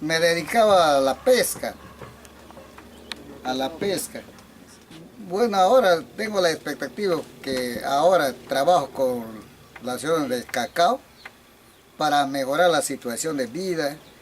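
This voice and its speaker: Over noticeable background noise, a man with a fairly high voice and lively intonation speaks at a fairly slow pace, leaving long, frequent pauses. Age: 70s. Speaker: fisherman turned cacao farmer. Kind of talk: interview.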